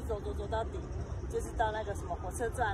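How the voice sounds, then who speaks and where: A woman is speaking with crowd noise behind her. The sound is dry, with no echo. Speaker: local guide vlogger. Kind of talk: casual vlog chat. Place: street. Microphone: phone near.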